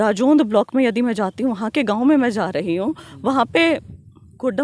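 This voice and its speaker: Lively intonation marks a woman's normal speaking voice at a fairly high pitch, recorded with a dry, close sound and no echo. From Haryana, Kaithal district (Pai village). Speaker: politician. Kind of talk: interview.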